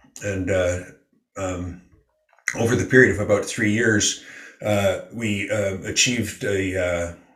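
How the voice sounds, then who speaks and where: Very slowly and somewhat breathily, a man with a fairly low pitch talks with fairly even intonation. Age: 70s. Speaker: philanthropist and environmental funder. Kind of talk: casual interview. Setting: remote call across continent. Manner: rambling, repeats words.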